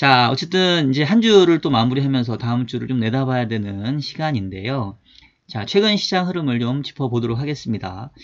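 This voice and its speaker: A man talks at a fairly quick pace and medium pitch, his intonation lively. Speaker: finance YouTuber and market analyst. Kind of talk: casual market commentary. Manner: informal, occasional dialect slips.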